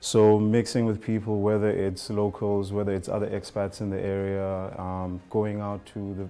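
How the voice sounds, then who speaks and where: With a dark, mellow tone, a man speaks at a fairly low pitch in a flat, monotone way. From South Africa. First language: a South African language (Ubuntu word). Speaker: language teacher. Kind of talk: interview testimony.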